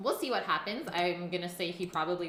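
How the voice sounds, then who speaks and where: A woman with a Canadian accent at a very fast pace, with audible room echo and noticeable background noise. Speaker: cooking livestreamer. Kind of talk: casual chat.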